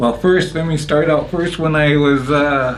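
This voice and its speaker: A man's medium-pitched voice with fairly even intonation, plus audible room echo and noticeable background noise. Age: 60s. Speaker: interviewee sharing life story. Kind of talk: interview, personal testimony. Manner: hesitant, many fillers.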